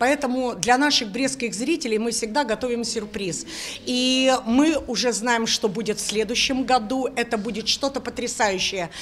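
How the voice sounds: A woman with a fairly high pitch talks at a moderate pace. She uses ordinary pitch variation and few pauses.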